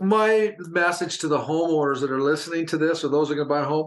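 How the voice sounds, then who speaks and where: Here is a man with a plain, everyday voice. His pitch varies in an ordinary way. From Canada (Alberta). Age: 60s. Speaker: podcast co-host. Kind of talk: casual chat.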